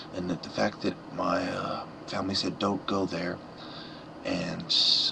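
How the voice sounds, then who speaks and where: A quiet man at a fairly slow pace, with noticeable background noise. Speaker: vlogger. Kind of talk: personal vlog monologue. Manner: halting.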